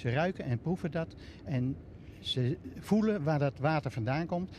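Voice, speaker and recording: Light background noise sits under a dry sound with no echo. A man speaks at a fairly slow pace, somewhat breathy, with a dark, mellow tone and lively intonation. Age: 60s. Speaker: pumping station manager. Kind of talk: on-location TV interview. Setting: on location at a pumping station. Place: waterside. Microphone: handheld.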